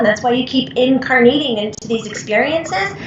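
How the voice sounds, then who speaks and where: At a moderate pace and with ordinary pitch variation, the voice comes through audible room echo and noticeable background noise. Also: woman. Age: 40s. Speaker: psychic medium. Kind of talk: trance channelling.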